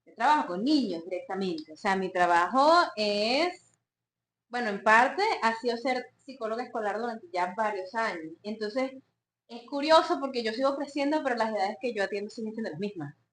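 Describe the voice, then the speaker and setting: A woman with a normal speaking voice talks at a moderate pace and fairly high pitch, her intonation lively. Her loudness swings a lot. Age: late 20s. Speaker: psychologist and podcast co-host. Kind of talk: casual chat.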